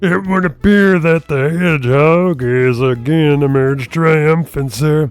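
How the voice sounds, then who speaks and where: A man's put-on character voice, fairly high in pitch, at a fairly slow pace with ordinary pitch variation and hardly any pauses, over music in the background. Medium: read story. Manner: obsequious.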